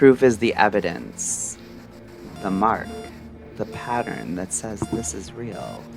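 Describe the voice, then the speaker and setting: Music plays in the background as a man speaks at a very slow pace with long, frequent pauses. His fairly low pitch makes very wide swings, and his loudness rises and falls sharply. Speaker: radio-style podcast host. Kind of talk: late-night mystery radio show narration.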